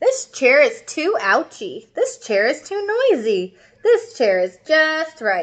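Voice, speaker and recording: Putting on a character voice, a woman speaks at an extremely high pitch. Her pitch swings very widely as she goes fairly slowly. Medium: read story.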